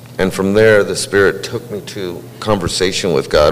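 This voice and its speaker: A man talking at a fairly quick pace, with noticeable background noise. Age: 60s. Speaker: church member sharing testimony. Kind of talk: testimony. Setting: church.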